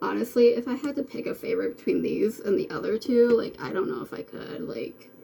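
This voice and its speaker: Over noticeable background noise, a woman talks with hardly any pauses while her loudness swings widely. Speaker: makeup beauty vlogger. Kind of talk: makeup tutorial. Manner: casual, many fillers; mumbling.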